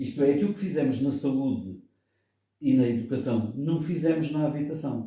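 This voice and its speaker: Speaking at a moderate pace, a man's fairly high, somewhat breathy voice shows ordinary pitch variation. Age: 70s. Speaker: political commentator. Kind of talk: radio debate.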